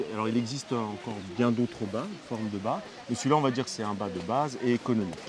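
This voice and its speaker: There is noticeable background noise as a man talks at a very fast pace. His pitch is medium, with ordinary variation. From Spanish background. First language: Spanish (speaking French). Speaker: donkey trekking guide. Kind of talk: on-location TV interview, explaining. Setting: outdoors at campsite with donkeys and children.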